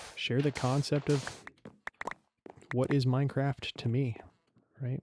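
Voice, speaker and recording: The voice is somewhat breathy and flat, with monotone intonation at a fairly slow pace. The sound is dry and close, with no echo. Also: man, medium pitch for a man. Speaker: gaming youtuber. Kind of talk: live gameplay commentary. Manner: casual, self-correcting.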